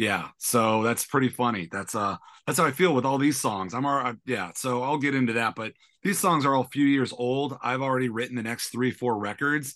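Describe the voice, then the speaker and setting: With an American accent and a bright, sharp tone, a man talks at a fairly quick pace, keeping a medium pitch with ordinary pitch variation. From San Francisco, US. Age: 30s. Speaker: singer-songwriter. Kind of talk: casual interview chat. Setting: remote call. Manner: hesitant with fillers.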